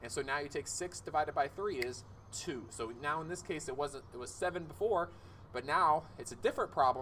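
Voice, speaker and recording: A man's fairly high, bright and sharp voice with vocal fry, lively intonation and a fairly quick pace. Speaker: math teacher. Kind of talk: tutorial. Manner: fast.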